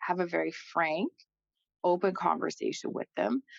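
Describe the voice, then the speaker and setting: With a dry, close sound and no echo, a woman speaks at a moderate pace and a fairly low pitch. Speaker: financial advisor. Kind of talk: casual chat. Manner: loud; animated.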